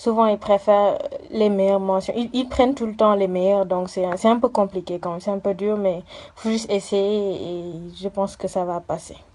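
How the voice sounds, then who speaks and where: A woman speaks at a moderate pace in a medium pitch. Her intonation stays fairly even. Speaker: university student. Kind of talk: interview. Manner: halting, many fillers.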